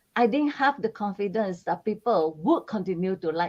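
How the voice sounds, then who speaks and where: A woman speaks in a plain, everyday voice at a moderate pace with lively intonation. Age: 60s. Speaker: spiritual channeler. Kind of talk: casual chat.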